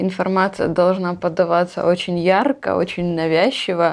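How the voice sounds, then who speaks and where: At medium pitch and a moderate pace, a woman talks in an unremarkable speaking voice. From Ukraine, Luhansk region. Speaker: emigrant sharing life abroad. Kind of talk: interview.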